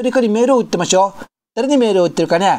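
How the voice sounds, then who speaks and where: In an Okinawan accent, a woman speaks with a fairly high, dark, mellow voice, her tone playful and her intonation lively. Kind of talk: mock live commentary. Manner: playful, scolding.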